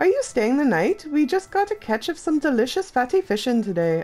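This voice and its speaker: A put-on character voice talks at a high pitch and a fairly quick pace. Its pitch swings very widely. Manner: salesy, cheerful.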